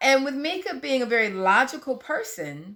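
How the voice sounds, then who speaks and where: Raised and projected, a woman's voice comes through with a bright, sharp tone. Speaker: podcast co-host. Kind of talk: casual chat.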